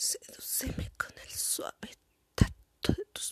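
Whispering at a very slow pace, a woman is heard in a dry, close sound with no echo. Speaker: poet and podcast host. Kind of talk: spoken word poetry, sensual ASMR-style reading aloud. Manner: slow, soft, intimate and sensual delivery.

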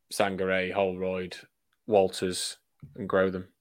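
A man with a Yorkshire accent and a very deep, low pitch, on a very clean recording with a silent background. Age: 20s. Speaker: rugby league fan podcast co-host. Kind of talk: casual chat.

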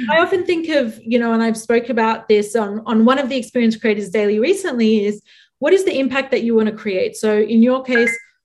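A woman with an unremarkable speaking voice uses lively intonation and keeps a moderate pace. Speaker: podcast host. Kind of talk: scripted intro then interview.

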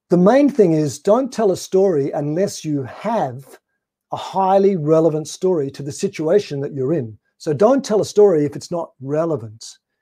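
Pitched high, this man speaks in an Australian accent with a dark, mellow tone. His intonation is lively and his pace moderate. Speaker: storytelling trainer and sales consultant. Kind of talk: webinar talk. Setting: video call.

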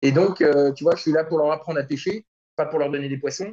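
The speech moves at a moderate pace with a dark, mellow tone and fairly even intonation. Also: man. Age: 40s. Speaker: start-up executive. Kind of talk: interview.

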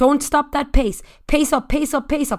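An Irish-accented woman talks with an energetic tone and a high pitch in a very clean recording with a silent background. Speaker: fitness instructor. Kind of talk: high-intensity Tabata interval coaching with shouted countdowns. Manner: loud, cheerleading, profane and energetic.

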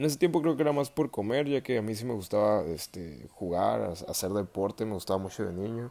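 A man's fairly low, dark, mellow voice with a Mexican accent, lively intonation, a fairly quick pace and hardly any pauses. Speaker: podcaster. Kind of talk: casual solo monologue. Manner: casual, slangy with fillers.

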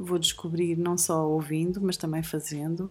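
Music plays in the background as a woman speaks at a moderate pace. Her pitch is fairly low and her intonation is monotone and flat. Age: 50s. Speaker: podcast co-host, mother of co-host. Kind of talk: casual podcast introduction.

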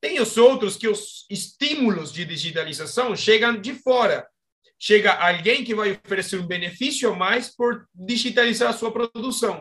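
This man's high voice carries a Spanish accent and ordinary pitch variation. He speaks at a moderate pace. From Argentina. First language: Spanish (speaking Portuguese). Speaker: agronomist and startup co-founder. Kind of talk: interview. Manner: halting.

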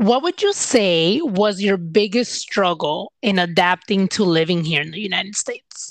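An ordinary speaking voice moves at a fairly slow pace with ordinary pitch variation. The sound is dry and close, with no echo. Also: woman. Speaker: podcast host. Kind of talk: casual interview chat.

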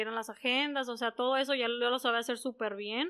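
A woman's high-pitched voice has a bright, sharp tone on a very clean recording with a silent background. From northwestern Mexico, San Luis Río Colorado (Sonora). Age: 30s. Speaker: beauty business owner. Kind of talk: interview.

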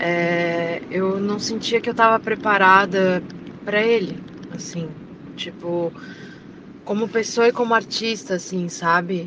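A woman speaks at a medium pitch with fairly even intonation and a very slow pace. Long, frequent pauses break up her speech amid noticeable background noise. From Florianópolis, Santa Catarina, Brazil. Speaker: singer. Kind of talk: interview. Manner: hesitant, many fillers.

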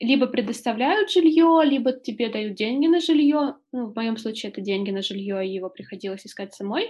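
A woman talks at a fairly quick pace with hardly any pauses. It's a plain, everyday voice with a fairly high pitch and lively intonation. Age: 20s. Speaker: journalist and volunteer. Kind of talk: casual interview.

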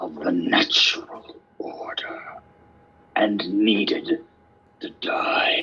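Booming, a man performs a put-on character voice. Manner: commanding, authoritative.

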